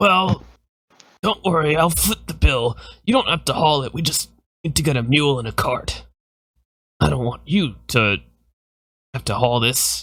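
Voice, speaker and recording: Putting on a raspy character voice, a man speaks at a moderate pace and medium pitch with lively intonation and long, frequent pauses. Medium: actual play. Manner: polite, courteous.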